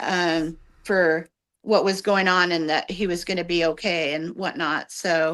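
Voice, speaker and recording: Fairly slow speech from a woman in a plain, everyday voice, fairly low in pitch, with fairly even intonation. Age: 60s. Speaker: tarot reader and clairvoyant. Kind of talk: casual chat. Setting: livestream video call.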